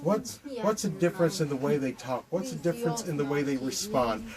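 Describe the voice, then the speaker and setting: A man with an American accent, fairly high-pitched for a man, at a fairly quick pace with lively intonation over noticeable background noise. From Ohio, USA. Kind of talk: devotional talk to camera. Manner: casual, hesitant.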